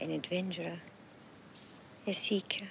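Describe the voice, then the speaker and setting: A soft-spoken woman's fairly low voice, soothing in tone with lively intonation, at a fairly slow pace, dry with no echo, over light background noise. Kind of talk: scripted film dialogue, fortune telling. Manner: very soft, hushed, soothing murmur.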